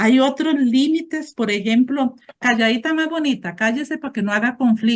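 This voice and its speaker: This woman's voice has a somewhat breathy quality. She talks fairly slowly. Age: 60s. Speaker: support group member. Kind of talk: testimony.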